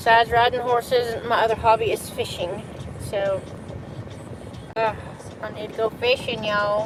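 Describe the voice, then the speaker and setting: With a Southern accent, a woman speaks at a fairly high pitch and a moderate pace in a monotone, flat intonation. Her long, frequent pauses sit over noticeable background noise. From US South. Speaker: live streamer. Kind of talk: casual chat.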